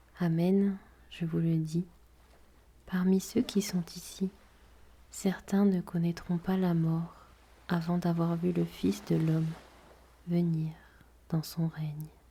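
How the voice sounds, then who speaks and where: Her fairly low, somewhat breathy voice has a dark, mellow tone, and the woman speaks very slowly in a calm, soothing tone with monotone, flat intonation and long, frequent pauses. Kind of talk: guided prayer and gospel reading.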